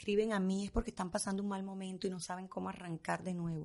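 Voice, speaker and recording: Very fast woman's voice, medium in pitch with a dark, mellow tone. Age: 50s. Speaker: fashion stylist. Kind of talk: casual chat.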